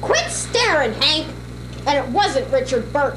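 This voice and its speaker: Someone performs a put-on character voice at a moderate pace. Loud background noise fills the recording. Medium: stage play. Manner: argumentative, wisecracking.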